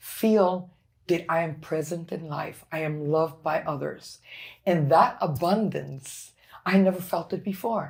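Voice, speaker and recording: A woman speaks at a very slow pace in a somewhat breathy voice. The recording is very clean, with a silent background. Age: 60s. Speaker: former corporate executive, brain injury survivor. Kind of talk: interview testimony. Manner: animated.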